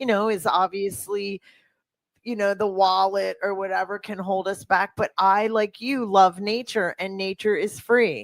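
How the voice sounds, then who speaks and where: A woman with an ordinary speaking voice at medium pitch and fairly even intonation, in a dry, close sound with no echo on a very clean recording with a silent background. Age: 50s. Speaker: podcast host and fitness coach. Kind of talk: casual interview chat.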